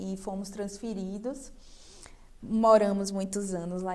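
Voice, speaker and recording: A woman speaks in a Bahian accent at a medium pitch. Her pace is fairly slow. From Brazil, Bahia (Salvador). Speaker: restaurant owner. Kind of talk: TV interview.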